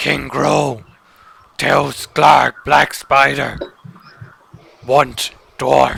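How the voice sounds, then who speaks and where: A man puts on a raspy character voice. He talks very slowly, with long, frequent pauses. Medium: actual play. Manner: broken third-person speech.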